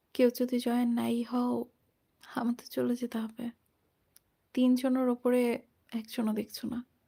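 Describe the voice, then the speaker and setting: A woman with a Bangladeshi accent speaks in a high pitch with a dark, mellow tone. Her intonation is monotone and flat, and the sound is dry and close with no echo. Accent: Bangladeshi Bengali. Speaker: story narration YouTuber. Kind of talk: solo livestream chat. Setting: solo livestream.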